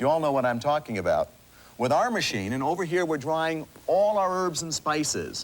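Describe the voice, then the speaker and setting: At a moderate pace, a man with a fairly high pitch talks in an enthusiastic tone with lively intonation. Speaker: inventor and pitchman. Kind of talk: TV infomercial sales pitch. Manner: enthusiastic, persuasive.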